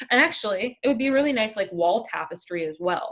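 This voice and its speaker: At a moderate pace, a woman talks in a normal speaking voice with lively intonation. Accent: Canadian. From Canada. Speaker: online craft community founder. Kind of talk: live stream chat. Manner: casual, with many fillers.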